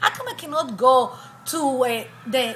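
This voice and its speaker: With a raised, projected voice, a woman speaks at a moderate pace and a high pitch. Noticeable background noise sits behind her. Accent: Israeli. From Israel. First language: Hebrew. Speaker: attorney and university professor. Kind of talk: personal testimony interview.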